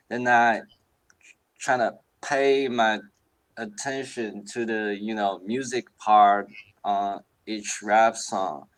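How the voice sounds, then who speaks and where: Very slow speech from a man with a Chinese accent, medium pitch, fairly even intonation and long, frequent pauses, in a very clean recording with a silent background. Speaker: hip hop producer. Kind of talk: casual interview chat. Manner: halting.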